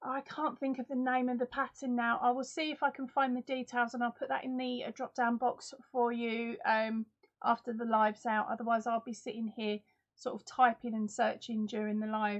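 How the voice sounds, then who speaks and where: A woman with a high pitch speaks with an Essex accent. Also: moderate pace. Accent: Essex English accent, remarked on by viewers. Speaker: crochet YouTuber. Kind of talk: live stream chat with viewers. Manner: animated.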